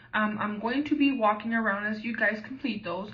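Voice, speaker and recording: With audible room echo, a woman talks at a moderate pace in a fairly high pitch with ordinary pitch variation. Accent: American. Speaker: teacher and graduate student. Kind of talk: training presentation. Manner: hesitant with fillers.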